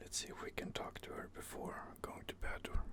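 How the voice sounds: At a fairly quick pace, a man speaks in a whisper.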